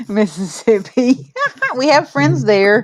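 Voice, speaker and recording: A woman at a medium pitch and a moderate pace, in a Southern US accent. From Oklahoma. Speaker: podcast host. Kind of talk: casual chat.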